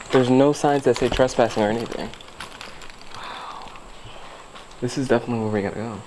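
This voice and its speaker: Noticeable background noise behind a man talking with ordinary pitch variation. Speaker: vlogger. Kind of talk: casual vlog chat. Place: open country. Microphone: phone near.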